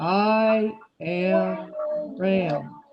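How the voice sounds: A gruff, put-on character voice sits at a middle pitch.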